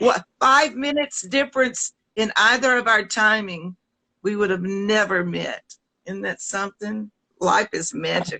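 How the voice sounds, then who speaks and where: A woman with a Southern US accent, a fairly high pitch and a bright, sharp tone at a fairly slow pace, in a dry, close sound with no echo. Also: ordinary pitch variation. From US South. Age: 70s. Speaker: singer. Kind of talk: casual chat. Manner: animated.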